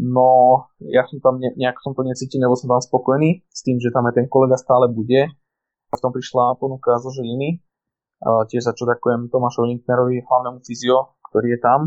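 Speaking at a fairly quick pace, a man uses a medium pitch and monotone, flat intonation. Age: 20s. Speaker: sports physiotherapist. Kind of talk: casual interview. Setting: remote, lying in apartment. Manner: halting.

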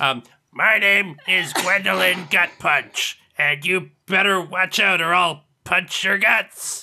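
A raspy, put-on character voice moves at a very slow pace. There are hardly any pauses. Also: man, high pitch for a man. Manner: playfully threatening.

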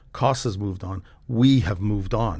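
A man speaks with an American accent at a fairly low pitch. His voice is somewhat breathy, with fairly even intonation. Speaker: property developer. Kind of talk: casual interview chat. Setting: studio.

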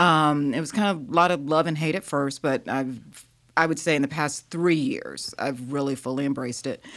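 On a very clean recording with a silent background, a woman with a Southern US accent speaks at a moderate pace in a very deep, low pitch with lively intonation. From US South. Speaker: grant professional. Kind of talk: casual interview. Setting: studio.

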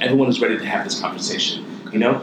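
Audible room echo and noticeable background noise surround a man talking with an American accent. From Ohio, US. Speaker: fashion designer. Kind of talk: interview.

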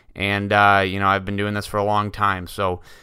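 The tone is bright and sharp, and the pace is fairly quick. The recording is very clean, with a silent background. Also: man. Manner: casual, filler-heavy.

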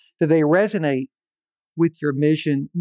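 In a quiet background, a man with an American accent and a normal speaking voice talks at a fairly quick pace in a fairly high pitch. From western Pennsylvania, Pittsburgh area. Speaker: nonprofit CEO, former telecom executive. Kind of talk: interview.

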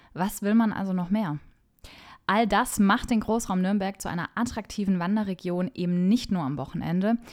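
A woman with an enthusiastic tone, medium pitch and ordinary pitch variation, at a moderate pace, on a very clean recording with a silent background. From Franconia, Germany. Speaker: travel journalist and podcast host. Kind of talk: scripted travel podcast narration.

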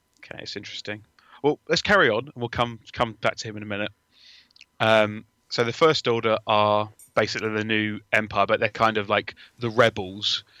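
A man speaks in an English accent, his tone bright and sharp and his pitch fairly low. Intonation is fairly even while loudness swings widely, and the sound is dry and close with no echo against a quiet background. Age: 30s. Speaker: film fan. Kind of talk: casual chat.

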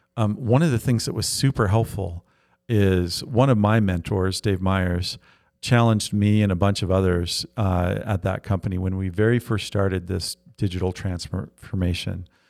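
A man with an ordinary speaking voice and an American accent, at a fairly low pitch with ordinary pitch variation and a moderate pace, in a very clean recording with a silent background. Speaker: startup founder and investor. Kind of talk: interview.

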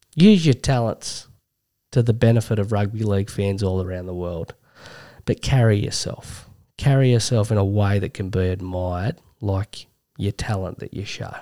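A man's fairly low voice in an Australian accent, dark and mellow in tone, with ordinary pitch variation and a dry, close sound with no echo. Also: moderate pace, very clean recording, silent background. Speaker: sports podcast co-host. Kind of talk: casual chat.

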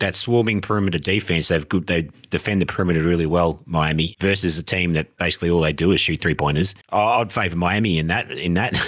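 Talking at a very fast pace with hardly any pauses, a man with an Australian accent has a very deep, low pitch, fairly even intonation and very even loudness. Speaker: podcast co-host. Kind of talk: casual chat.

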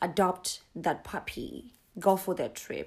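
The voice carries vocal fry. The recording is very clean, with a silent background. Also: woman. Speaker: podcast host. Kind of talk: solo podcast monologue. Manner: casual, chatty.

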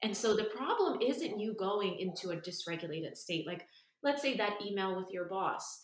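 At a moderate pace, a woman speaks in a medium pitch with ordinary pitch variation and an unremarkable speaking voice. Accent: American. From New York. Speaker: nervous system and breathwork coach. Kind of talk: casual interview.

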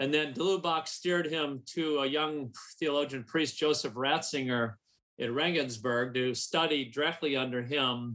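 In an American accent, a man speaks with a bright, sharp tone, fairly high pitch, fairly even intonation and very even loudness. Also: moderate pace. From US Midwest, St. Paul, Minnesota. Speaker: publishing marketing and sales director. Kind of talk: radio interview.

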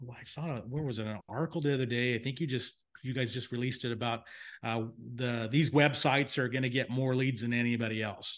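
A plain, everyday voice with fairly even intonation sounds against a quiet background. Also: man. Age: 50s. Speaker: home inspection business owner and software founder. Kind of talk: casual chat. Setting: remote recording.

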